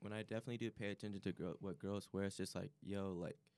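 A man with an American accent talks at a very fast pace. His voice sits at a fairly low pitch. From Chicago area. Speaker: college student. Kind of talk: casual chat.

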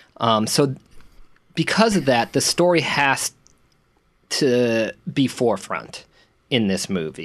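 A man at a very slow pace and medium pitch, with very wide pitch swings and long, frequent pauses. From central Massachusetts. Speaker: podcast co-host. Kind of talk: casual film discussion.

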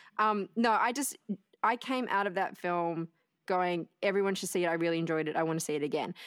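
The speech comes at a fairly quick pace in an Australian accent. Its pitch varies in an ordinary way. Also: woman, medium pitch for a woman. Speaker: podcast guest, movement artist. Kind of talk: casual chat.

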